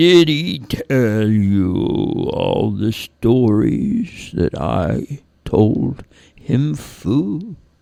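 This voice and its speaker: A man uses a put-on character voice, rumbling at a medium pitch. He speaks at a very slow pace. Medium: read story. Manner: slow, gentle.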